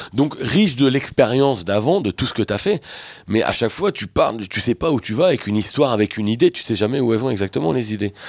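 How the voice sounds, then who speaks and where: Talking at a very fast pace, a man uses a medium pitch and lively intonation, with a dry, close sound and no echo. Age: 40s. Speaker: comedian and columnist. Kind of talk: casual chat.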